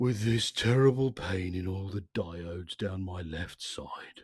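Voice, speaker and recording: This soft-spoken, put-on character voice moves at a fairly slow pace. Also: man, very deep, low pitch for a man. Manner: dismal, doleful.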